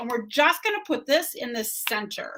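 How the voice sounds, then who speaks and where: Her tone is bright and sharp as this woman talks at a moderate pace. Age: 50s. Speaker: beauty brand ambassador and makeup vlogger. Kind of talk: makeup tutorial livestream. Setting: livestream. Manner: casual, chatty.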